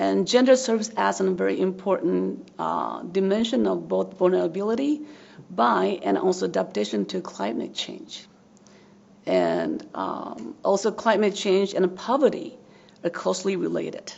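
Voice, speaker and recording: A woman with a Japanese accent at a moderate pace, noticeable background noise behind her. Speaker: social work professor. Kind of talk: academic presentation. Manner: halting, frequent fillers.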